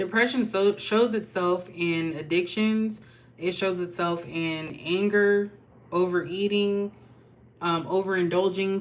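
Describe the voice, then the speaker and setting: Fairly slow and fairly even in intonation, a woman talks in an ordinary speaking voice at a fairly low pitch. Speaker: tarot reader. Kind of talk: tarot reading monologue. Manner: casual, chatty.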